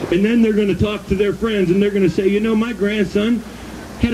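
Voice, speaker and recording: A man talks loudly in an American accent. Noticeable background noise runs behind him. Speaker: activist speaker / rally emcee. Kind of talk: rally speech. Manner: animated.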